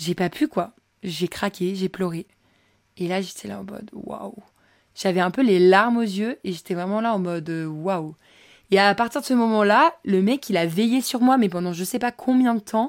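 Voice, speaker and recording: On a very clean recording with a silent background and a dry, close sound with no echo, a woman talks at a medium pitch and a moderate pace, with ordinary pitch variation. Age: 20s. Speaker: podcast host. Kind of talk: casual storytelling monologue. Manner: animated.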